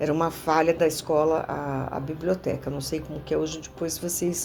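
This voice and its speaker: A woman at a moderate pace, against noticeable background noise. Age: 60s. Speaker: former student of the school. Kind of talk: interview reminiscence. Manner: halting, with fillers and repetitions.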